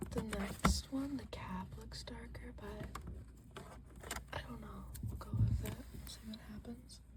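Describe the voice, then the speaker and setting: A soft-spoken, relaxed voice moves at a fairly slow pace with long, frequent pauses. Noticeable background noise sits underneath. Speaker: ASMR creator. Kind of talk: ASMR soft-spoken talk while coloring.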